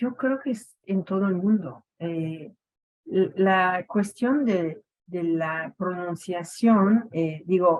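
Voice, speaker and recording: A woman with a French Canadian accent speaks at a very slow pace and medium pitch, with ordinary pitch variation. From Quebec, Montreal. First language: French (speaking Spanish). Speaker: education academic. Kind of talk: radio interview. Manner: hesitant, many fillers.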